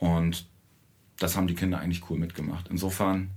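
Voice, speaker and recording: Speaking at a fairly quick pace, the man has a very deep, low pitch. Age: 40s. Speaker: musician in a children's band. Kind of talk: casual interview.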